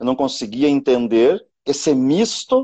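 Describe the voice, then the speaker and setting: Against a quiet background, the voice has a dark, mellow tone, ordinary pitch variation, and a dry, close sound with no echo. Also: man. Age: 40s. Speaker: teacher and education consultant. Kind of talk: live stream conversation. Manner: animated.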